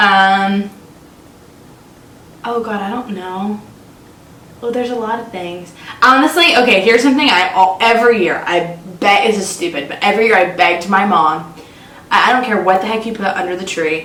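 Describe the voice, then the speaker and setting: With an American accent, a woman of medium pitch talks at a fairly quick pace with ordinary pitch variation and long, frequent pauses, over audible room echo and noticeable background noise. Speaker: podcast co-host. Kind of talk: casual chat. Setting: makeshift home studio on a couch. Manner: stuttering.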